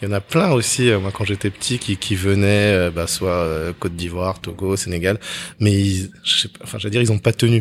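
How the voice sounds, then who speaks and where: At a moderate pace, a man with a fairly low pitch talks in a plain, everyday voice with fairly even intonation, in a very clean recording over a silent background. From France, Togolese-Beninese family. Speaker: podcast host, consultant. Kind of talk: interview. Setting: art gallery.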